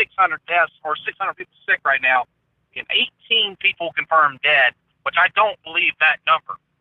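A man with an American accent speaks at a moderate pace in a high pitch. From US South. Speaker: conspiracy theory commentator. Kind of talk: casual chat.

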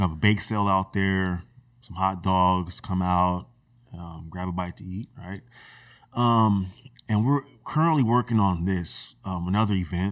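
A man speaks slowly, at a fairly slow pace, with an American accent. His pitch is very deep and low, with ordinary pitch variation. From US West Coast, Sacramento area (California). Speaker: HVAC technician and community group founder. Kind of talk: casual interview conversation.

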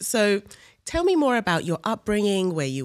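Lively intonation from a woman at a fairly quick pace, a normal speaking voice. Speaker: podcast host. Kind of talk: casual interview conversation.

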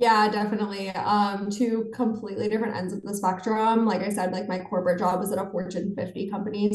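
A woman with an American accent speaks at a fairly quick pace, hardly pausing at all. Her medium-pitched voice stays monotone and flat, and room echo can be heard. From western Pennsylvania, small town near Pittsburgh. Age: 20s. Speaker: financial content creator. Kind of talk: interview.

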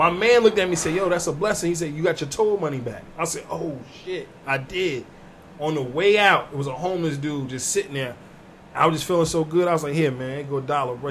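Over background music, a man with a fairly high voice talks at a very fast pace. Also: ordinary pitch variation. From New Jersey. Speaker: comedian. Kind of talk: casual chat.

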